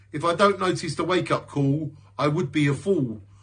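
A man's fairly high voice at a moderate pace, with ordinary pitch variation and a quiet background. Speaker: poet and video creator. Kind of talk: spoken word poetry. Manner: introspective, rhythmic, earnest delivery; reflective, warm sign-off. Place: home room. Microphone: phone near.

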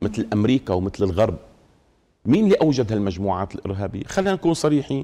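With very wide pitch swings, a man's fairly low voice carries a dark, mellow tone. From Syria, Damascus. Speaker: Islamic scholar, mufti committee head; guest. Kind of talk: TV studio interview on religion; interview answer. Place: studio. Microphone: lapel.

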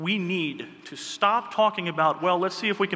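A man speaks in a high-pitched, raised and projected voice. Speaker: political party chair candidate. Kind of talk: debate speech. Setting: stage with audience. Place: hall. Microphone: podium.

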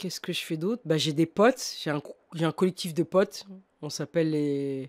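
Against a quiet background, a woman speaks at a fairly slow pace with a very deep, low pitch. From Paris suburbs (banlieue), France; France. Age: 40s. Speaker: dancer and choreographer; podcast guest. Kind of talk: interview, casual conversation. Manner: halting, many hesitations. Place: studio. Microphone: studio mic.

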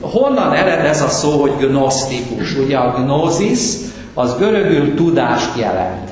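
There's audible room echo around a man whose pitch sits fairly high. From Hungary. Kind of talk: lecture. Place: hall.

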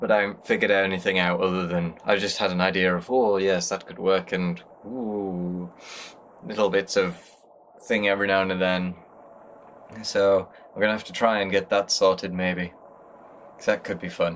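A man with a British accent talks at a moderate pace in a very deep, low pitch, with fairly even intonation. He takes long, frequent pauses over light background noise. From Britain. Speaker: vlogger. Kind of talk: casual daily vlog talk to camera. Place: home room. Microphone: webcam.

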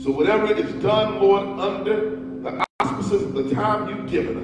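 Music plays in the background as a man speaks at a fairly slow pace. The room echo is audible. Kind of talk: prayer. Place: church.

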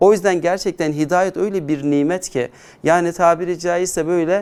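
The man's pitch is high. His intonation stays fairly even. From Turkey, Adana. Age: 40s. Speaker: Islamic educator. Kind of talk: conversion testimony interview.

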